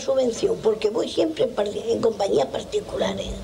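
Her voice is a woman's, high in pitch, with very wide pitch swings. She speaks at a fairly slow pace over light background noise. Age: 80s+. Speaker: stage actress. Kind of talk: interview answer. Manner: lively, spontaneous. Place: home room.

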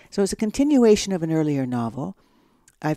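A woman with a Canadian accent speaks in a very deep, low voice with a dark, mellow tone. Her pitch swings very widely, and the sound is dry with no echo. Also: quiet background. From Canada, Ontario (Owen Sound). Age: 60s. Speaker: novelist. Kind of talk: interview conversation. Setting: at home. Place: home room.

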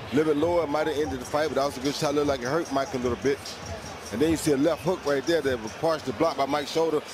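A man with a fairly high pitch talks at a very fast pace, the sound dry with no echo and noticeable background noise behind him. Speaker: YouTube reaction creator. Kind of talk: casual reaction rant, with fight commentary clips. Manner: animated, ranting, slangy, repeats 'bro'; frustrated, conversational, storytelling. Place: home room. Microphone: headset.

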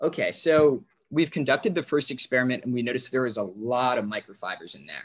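This is an unremarkable speaking voice with an American accent. It moves at a fairly quick pace. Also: man. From Maryland, US. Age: young. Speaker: student youth ambassador; webinar presenter. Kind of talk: tutorial. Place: home room. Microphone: video call.

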